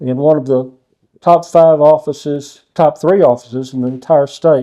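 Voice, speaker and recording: Fairly even intonation marks this voice, which carries a dark, mellow tone. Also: man. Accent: Texan. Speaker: judge, interviewer. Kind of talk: reading historical notes aloud.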